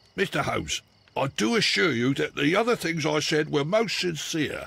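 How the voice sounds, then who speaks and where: A man puts on a raspy character voice pitched fairly high. He moves at a moderate pace with very wide pitch swings. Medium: video game. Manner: stammering, nervous.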